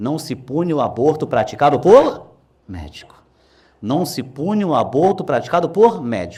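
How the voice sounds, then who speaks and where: In a very clean recording with a silent background, a man with a dark, mellow tone and vocal fry moves through very wide pitch swings. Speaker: law professor. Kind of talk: lecture. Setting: classroom with live audience. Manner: fast; animated.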